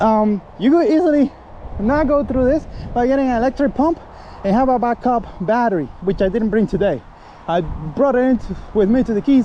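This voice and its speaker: Over noticeable background noise, a man talks at a fairly quick pace in an extremely high pitch. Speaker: kayak fisherman. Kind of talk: casual talk to camera. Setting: outdoors.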